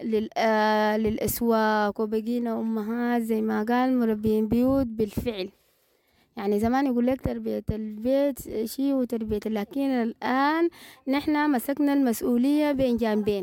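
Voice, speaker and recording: A woman speaks at a fairly slow pace with a fairly high pitch and ordinary pitch variation. Her tone is dark and mellow, and her loudness stays very even. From Sudan, North Darfur. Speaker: former health worker turned trader. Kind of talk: interview testimony. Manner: halting.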